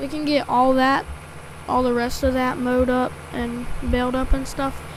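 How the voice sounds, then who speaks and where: There is noticeable background noise and audible room echo as a woman speaks at a high pitch. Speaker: farming game streamer. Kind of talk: gameplay livestream commentary. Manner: casual, filler-heavy.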